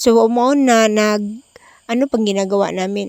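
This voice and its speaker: A soft-spoken woman's voice, fairly high in pitch, monotone and flat, with a dry, close sound and no echo. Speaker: vlogger. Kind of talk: vlog narration. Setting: voice over at night. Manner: soft-spoken, kept quiet.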